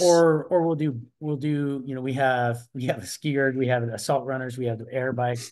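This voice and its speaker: A man with a plain, everyday voice talks at a moderate pace and medium pitch, with fairly even intonation and hardly any pauses. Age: 60s. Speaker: masters athlete, retired corrections officer. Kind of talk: interview answer.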